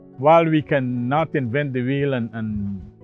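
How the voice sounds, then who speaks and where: Ordinary pitch variation comes through a dry sound with no echo, with faint music in the background. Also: man. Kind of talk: interview answer. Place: farm machine. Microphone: lapel.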